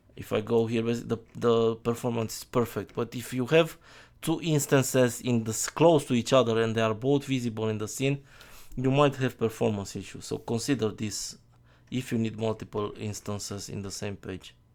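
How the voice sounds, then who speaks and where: In a very clean recording with a silent background, a man with a non-native accent talks at a moderate pace, medium in pitch and fairly even in intonation. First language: not English. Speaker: software developer. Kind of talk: tutorial. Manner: halting.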